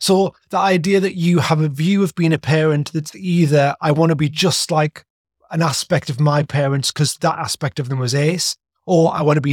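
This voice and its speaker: In a very clean recording with a silent background, a man with an ordinary speaking voice talks at a moderate pace and fairly high pitch, his intonation fairly even and the sound dry and close with no echo. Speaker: podcast host. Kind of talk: casual interview chat.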